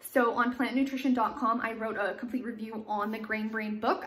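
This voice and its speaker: A woman talks at a fairly quick pace and fairly high pitch, with fairly even intonation. Noticeable background noise is heard. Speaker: nutrition vlogger. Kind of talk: casual vlog book review.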